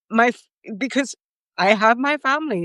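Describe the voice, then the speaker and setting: Recorded dry and close with no echo, a woman uses an ordinary speaking voice with lively intonation at a moderate pace. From New York City (Bronx). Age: 50s. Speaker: podcast guest. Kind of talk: casual chat.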